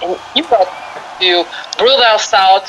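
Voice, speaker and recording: Noticeable background noise surrounds a woman who talks fairly slowly. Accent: Brazilian Portuguese. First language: Portuguese. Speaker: metal guitarist. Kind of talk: interview. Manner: halting.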